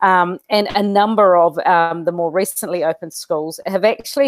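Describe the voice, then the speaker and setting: Dry sound with no echo and a quiet background carry a moderate-paced voice with a New Zealand accent and fairly even intonation. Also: woman. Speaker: school educator and interview host; interviewer, host. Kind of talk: interview. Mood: thoughtful, optimistic. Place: home room. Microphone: earbuds.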